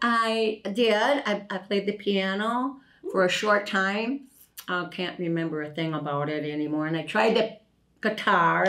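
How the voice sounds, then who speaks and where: Speaking with an Upper Midwest accent, a woman uses lively intonation at a medium pitch and a fairly slow pace. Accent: Upper Midwest American. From La Crosse, Wisconsin. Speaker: retired factory worker. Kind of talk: interview answer. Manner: casual, chatty.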